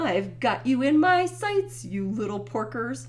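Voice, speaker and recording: A cackling, put-on character voice at a middle pitch goes at a fairly slow pace over clear background noise. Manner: cackling, menacing.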